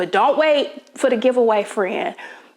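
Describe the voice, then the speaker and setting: A woman speaks in an enthusiastic tone with ordinary pitch variation. Noticeable background noise runs behind her. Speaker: home decor vlogger. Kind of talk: sponsored product spotlight in a vlog. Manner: chatty, enthusiastic.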